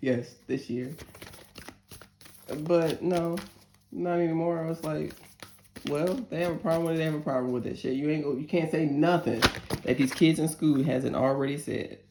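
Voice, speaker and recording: A woman speaks with a very deep, low pitch, leaving long, frequent pauses. Noticeable background noise runs under her voice. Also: moderate pace. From northern US. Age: 40s. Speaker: tarot reader. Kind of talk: tarot reading with casual asides. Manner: animated, emotional.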